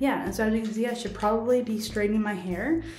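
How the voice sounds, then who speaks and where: A woman with a fairly high pitch talks at a fairly quick pace, with noticeable background noise and audible room echo. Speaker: vlogger. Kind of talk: casual vlog. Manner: quiet.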